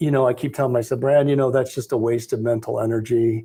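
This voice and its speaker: A man speaks at a very fast pace in a dark, mellow tone that is somewhat breathy. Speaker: Medicare sales agent. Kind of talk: casual group discussion.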